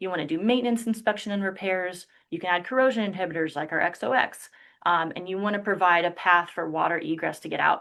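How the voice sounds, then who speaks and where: A woman talks at a very fast pace. Her tone is bright and sharp, her pitch medium. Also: ordinary pitch variation. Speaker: industrial insulation product specialist. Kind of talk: webinar presentation. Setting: online webinar.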